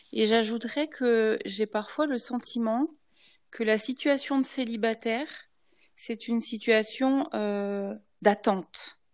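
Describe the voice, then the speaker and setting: In a quiet background, a woman with a fairly high pitch speaks at a very slow pace with ordinary pitch variation. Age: 50s. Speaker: former pastor's wife. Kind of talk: panel discussion.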